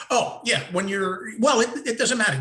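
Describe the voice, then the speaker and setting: A man is speaking. His tone is bright and sharp. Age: 60s. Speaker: former radio host, online show co-host. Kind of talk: casual chat. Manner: halting, repeats words.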